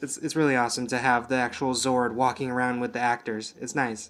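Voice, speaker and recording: This man speaks quietly at a medium pitch. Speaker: TV show reviewer. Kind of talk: video review. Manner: monotone.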